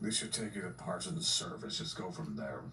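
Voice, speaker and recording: A man's put-on character voice at a fairly quick pace, over clear background noise. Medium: machinima. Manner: dry, reluctant.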